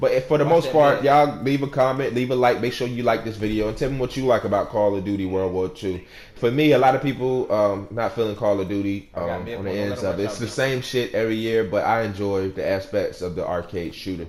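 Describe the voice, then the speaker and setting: Over noticeable background noise, a man with an American accent talks at a fairly quick pace and medium pitch, with ordinary pitch variation and hardly any pauses. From Virginia, US. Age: 30s. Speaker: gaming YouTuber. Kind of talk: game review commentary. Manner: fast; casual, filler-heavy.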